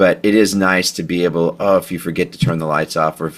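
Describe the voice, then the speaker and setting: Fairly quick and with fairly even intonation, a man talks in a Texan accent on a very clean recording with a silent background. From Texas, Houston. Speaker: podcast host and home automation integrator. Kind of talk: interview.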